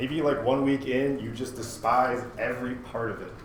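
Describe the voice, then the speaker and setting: Noticeable background noise and audible room echo. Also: man. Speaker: university instructor. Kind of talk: lecture. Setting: classroom. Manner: fast; casual.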